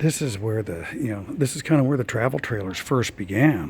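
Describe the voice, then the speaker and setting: Lively intonation colors a man's speech, heard against noticeable background noise. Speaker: RV vlogger. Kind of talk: casual video tour narration. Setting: indoors in a museum. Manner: hesitant, many fillers.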